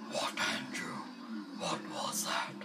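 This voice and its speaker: Someone puts on a character voice with a fairly high pitch. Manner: mock-demonic, not convincing.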